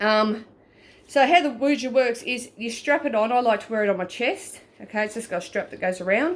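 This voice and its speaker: Her Australian accent clear, a woman speaks at a fairly quick pace with lively intonation. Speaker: paranormal investigator. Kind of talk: tutorial. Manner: stuttering; casual.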